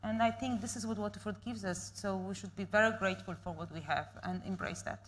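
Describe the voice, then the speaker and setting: Her voice is very deep and low for a woman, with vocal fry and very wide pitch swings, and she talks at a very fast pace with hardly any pauses. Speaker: panel guest. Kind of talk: panel discussion.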